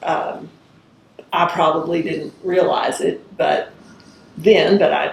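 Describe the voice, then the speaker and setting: A woman speaks with an Arkansas accent. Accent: Arkansas Southern US. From US South, rural northwest Arkansas. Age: 60s. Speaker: judge. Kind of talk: oral history interview.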